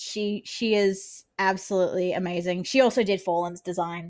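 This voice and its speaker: An Australian accent from a woman, recorded very cleanly against a silent background. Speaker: vtuber, variety streamer. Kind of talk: casual chat. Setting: livestream. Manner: loud; talkative.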